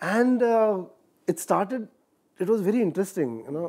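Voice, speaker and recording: A dark, mellow tone carries a slight Marathi accent at a fairly quick pace with ordinary pitch variation. The background is quiet. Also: man. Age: 40s. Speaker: actor. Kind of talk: interview. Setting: studio. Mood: relaxed, reminiscing. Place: studio.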